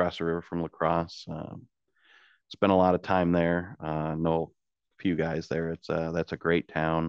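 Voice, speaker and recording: Flat and monotone, a man speaks with an American accent at a moderate pace. His pitch is very deep and low. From central Illinois. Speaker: towboat captain. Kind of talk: interview.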